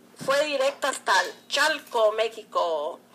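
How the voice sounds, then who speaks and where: A woman's high, raised, projected voice at a very slow pace over noticeable background noise. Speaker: radio host. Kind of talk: radio dedication of condolence. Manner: warm, consoling.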